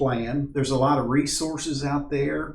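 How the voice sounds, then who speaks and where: A man talks at a fairly slow pace in an American accent. Audible room echo surrounds his voice. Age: 60s. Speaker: backpacking instructor. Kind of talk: tutorial. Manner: casual, halting with fillers.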